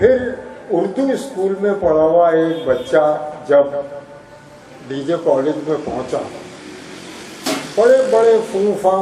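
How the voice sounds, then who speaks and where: A man speaks with lively intonation over noticeable background noise, his voice carrying an audible room echo. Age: 70s. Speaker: retired university registrar and teacher. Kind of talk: reminiscence speech at an honorary event. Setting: hall with audience.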